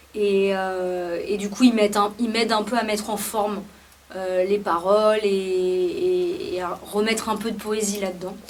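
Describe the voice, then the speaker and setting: Amid noticeable background noise and audible room echo, a woman talks fairly slowly at a medium pitch, with fairly even intonation. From France, Paris. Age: 30s. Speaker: musician. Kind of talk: interview. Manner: hesitant, many fillers.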